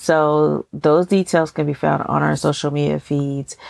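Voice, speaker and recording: A woman with an American accent speaks very slowly in a very deep, low voice and a relaxed tone, with a dry, close sound and no echo. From Texas. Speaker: podcast host. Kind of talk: casual chat. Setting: recording on the road. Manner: relaxed, chatty.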